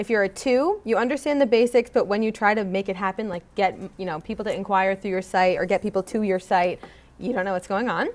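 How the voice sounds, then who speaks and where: The voice has an animated tone, ordinary pitch variation and a very fast pace. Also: woman, medium pitch for a woman. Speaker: website copywriter and workshop presenter. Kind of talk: workshop presentation. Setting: room with live audience.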